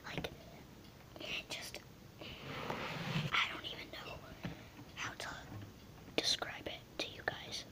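A man whispers at a very slow pace with long, frequent pauses and big swings in loudness over noticeable background noise. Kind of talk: ASMR video. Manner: whispered.

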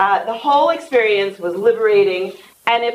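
A woman speaks with an American accent in a plain, everyday voice. Her pitch is medium, and her pace is fairly quick. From New York. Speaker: teaching center director. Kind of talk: introductory remarks. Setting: stage with audience. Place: hall.

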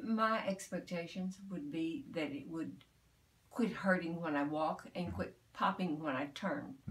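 Somewhat breathy and fairly low in pitch, a woman speaks at a fairly slow pace with lively intonation. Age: 70s. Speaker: patient. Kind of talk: interview answer. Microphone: phone near.

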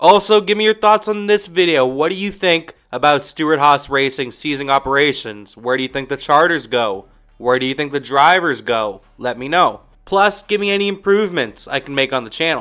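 Over music in the background, the speaker talks at a fairly quick pace with lively intonation. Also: man, fairly high pitch for a man. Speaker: YouTube motorsport commentator. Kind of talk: casual vlog commentary.

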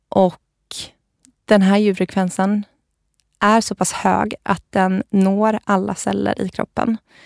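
In a dry, close sound with no echo and a silent background on a very clean recording, a woman speaks very slowly in a monotone, flat voice, with long, frequent pauses. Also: medium pitch for a woman. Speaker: podcast founder and spiritual practitioner. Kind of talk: casual interview. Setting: studio.

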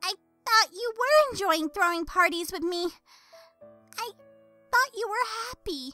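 An extremely high, squeaky put-on character voice moves at a fairly slow pace while faint music plays in the background. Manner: bubbly, rambling, excitable.

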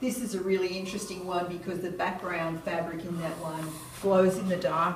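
A woman is speaking. Light background noise and audible room echo can be heard. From Australia. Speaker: quilter, exhibiting artist. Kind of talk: gallery walkthrough talk. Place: hall. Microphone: camera far.

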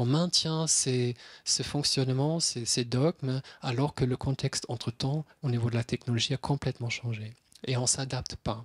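Somewhat breathy, a man speaks at a moderate pace and medium pitch with fairly even intonation. His loudness stays very even over a quiet background. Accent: German. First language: German (speaking French). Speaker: psychiatrist; conference speaker. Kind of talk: lecture. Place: hall. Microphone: handheld.

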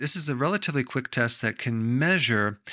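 A man speaks in a bright, sharp tone over a quiet background. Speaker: health educator. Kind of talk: explanatory health talk to camera.

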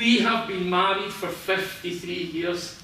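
In a Scottish accent, a man projects a raised voice at a very slow pace with fairly even intonation, with audible room echo and light background noise. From Scotland. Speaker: guest. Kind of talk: public talk. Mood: emotional, heartfelt storytelling. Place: hall. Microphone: camera far.

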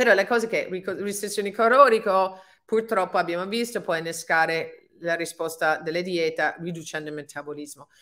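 Against a quiet background, a woman with an English accent speaks at a moderate pace in a bright, sharp tone with ordinary pitch variation. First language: English (speaking Italian). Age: 50s. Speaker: fitness and anti-aging coach; anti-aging coach. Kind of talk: webinar talk. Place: home room. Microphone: webcam.

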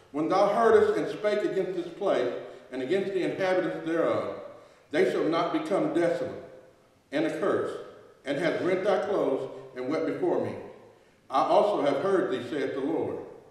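A man speaks at a moderate pace with long, frequent pauses. Strong room echo fills the recording. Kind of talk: sermon. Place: church. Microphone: podium.

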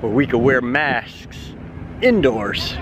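Against loud background noise, a man talks at a fairly slow pace, the sound dry with no echo. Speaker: theme park vlogger. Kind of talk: casual vlog chat. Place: street. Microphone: phone near.

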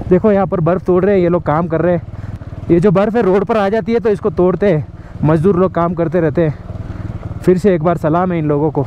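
A man's high-pitched voice keeps very even loudness, with a dry sound with no echo and light background noise. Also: ordinary pitch variation, fairly quick pace. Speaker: travel vlogger. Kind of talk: casual vlog chat. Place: open country. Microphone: phone near.

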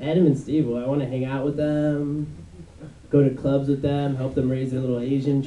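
A man talks in a fairly high pitch, with room echo clearly audible. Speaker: stand-up comedian. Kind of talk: stand-up comedy routine. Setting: stage, comedy club. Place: stage.

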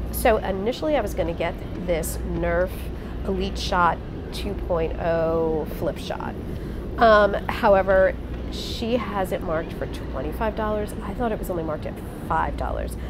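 Noticeable background noise sits under speech delivered at a moderate pace. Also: woman. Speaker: reseller shopping. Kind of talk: casual vlog chat. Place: hall. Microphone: phone near.

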